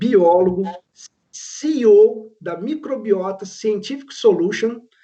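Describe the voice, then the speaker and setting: A man speaks at a very slow pace. His voice is high-pitched, with ordinary pitch variation. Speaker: professor and panel moderator. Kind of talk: panel moderation.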